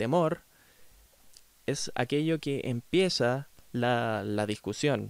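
A man at a very slow pace with lively intonation, on a very clean recording with a silent background. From Chile. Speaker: philosophy podcaster. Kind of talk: solo lecture-style commentary. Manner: hesitant, many fillers.

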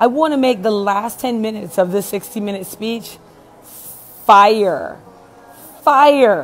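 The woman talks at a fairly slow pace with ordinary pitch variation. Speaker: speaker coach. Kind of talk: casual vlog storytelling. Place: home room. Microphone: earbuds.

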